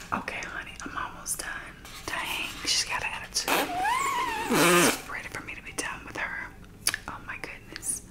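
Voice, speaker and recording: The voice is whispering. Long, frequent pauses break up the speech. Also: woman, moderate pace. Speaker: ASMR creator. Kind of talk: ASMR role play, pretending to cut a wig's hair. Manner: soft whispering. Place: shop. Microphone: phone near.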